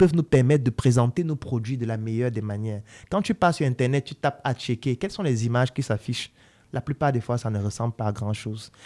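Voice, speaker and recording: The pace runs fairly quick. A dark, mellow tone carries the speech. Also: man. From Cameroon (Yaoundé); Cameroon. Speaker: doctor and entrepreneur, online educator; podcast guest. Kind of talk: podcast interview. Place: studio. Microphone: studio mic.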